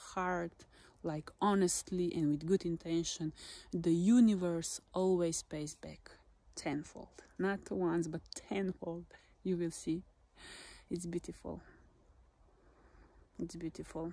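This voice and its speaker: A woman's fairly low voice with fairly even intonation, at a very slow pace with long, frequent pauses, in a dry sound with no echo. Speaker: lifestyle vlogger. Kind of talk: casual motivational vlog chat. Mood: warm, encouraging. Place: forest. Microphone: phone near.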